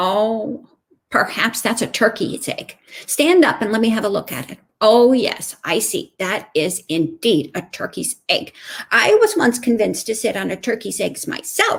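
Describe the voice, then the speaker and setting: Putting on a character voice, a woman speaks at a moderate pace and a fairly high pitch. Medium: read story. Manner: knowing, self-assured.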